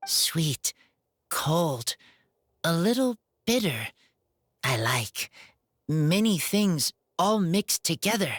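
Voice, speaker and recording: A female-sounding put-on character voice at a middle pitch, very slow in pace, with long, frequent pauses. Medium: video game. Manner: terse, broken simple sentences.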